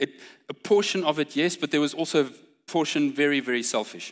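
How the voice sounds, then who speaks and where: A man's fairly high voice with vocal fry, lively intonation and a fairly quick pace, on a very clean recording with a silent background. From South Africa, Pretoria. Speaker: preacher. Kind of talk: sermon.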